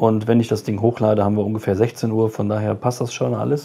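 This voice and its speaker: Fairly low in pitch, a man talks at a fairly quick pace in a dark, mellow tone with fairly even intonation. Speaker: streamer giving channel update. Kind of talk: casual vlog chat. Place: home room. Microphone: phone near.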